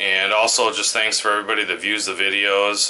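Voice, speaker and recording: A man talks at a moderate pace. Light background noise is heard behind him. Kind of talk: casual vlog chat. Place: office. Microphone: phone near.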